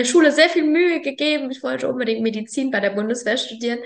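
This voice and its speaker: Her intonation lively, a woman talks at a very fast clip. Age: 20s. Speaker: farmer. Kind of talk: casual chat.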